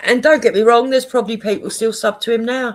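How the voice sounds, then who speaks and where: Someone with a Cockney accent speaks at a moderate pace in a very clean recording with a silent background. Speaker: live streamer. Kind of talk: casual livestream chat. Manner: animated.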